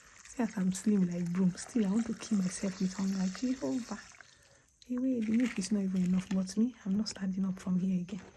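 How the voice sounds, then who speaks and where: Whispering at a fairly quick pace. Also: woman. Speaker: content creator. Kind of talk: casual vlog monologue. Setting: at home at night.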